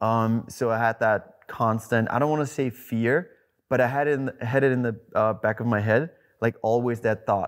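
Against a quiet background, a man with a non-native accent talks at a moderate pace, his intonation fairly even and his loudness very even. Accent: foreign. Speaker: celebrity trainer. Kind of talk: podcast guest conversation. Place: home room. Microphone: lapel.

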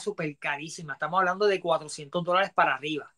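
The man talks at a fairly quick pace. His high-pitched voice has a bright, sharp tone. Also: quiet background. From Ponce, Puerto Rico; Puerto Rico. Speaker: toy collector and salesman; interview guest. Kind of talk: live-stream interview. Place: home room. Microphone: earbuds.

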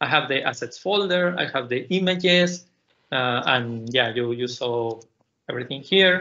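A man with a Spanish accent talks with lively intonation. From Mexico. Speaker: PhD student and tech speaker; conference presenter. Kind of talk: technical conference talk. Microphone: video call.

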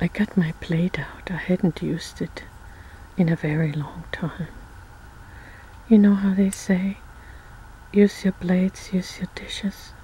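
A woman at a fairly slow pace with long, frequent pauses and fairly even intonation, dry with no echo, over light background noise. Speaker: ASMR creator. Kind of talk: casual vlog chat. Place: home room. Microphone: phone near.

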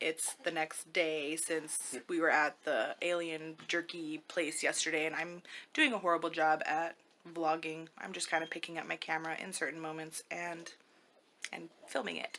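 At a moderate pace, a woman talks in a bright, sharp tone with monotone, flat intonation over light background noise. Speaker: family vlogger. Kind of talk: casual vlog chat. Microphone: phone near.

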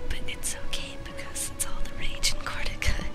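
With music playing behind her, a woman whispers at a moderate pace. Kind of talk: whispered video game let's play. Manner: whispered.

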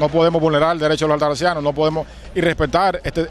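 This man talks at a very fast pace in a monotone, flat delivery with a fairly high pitch, while crowd noise sounds in the background. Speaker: politician. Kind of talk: protest speech.

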